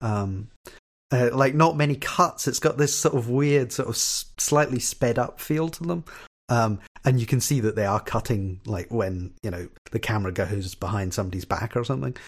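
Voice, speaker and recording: A man speaks at a medium pitch and moderate pace, somewhat breathy. His intonation is lively. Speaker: podcast host. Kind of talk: casual chat.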